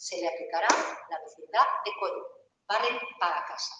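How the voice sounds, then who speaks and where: A woman speaks at a moderate pace with an animated tone in an Aragonese accent. Room echo is audible. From Aragón, Spain. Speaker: law professor. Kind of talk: lecture.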